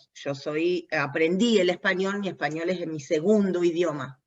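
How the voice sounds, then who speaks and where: In an Argentine accent, a woman talks at a fairly slow pace and a fairly low pitch with ordinary pitch variation. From US, New Jersey. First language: English (speaking Spanish). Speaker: language competence expert in aviation. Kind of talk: interview conversation.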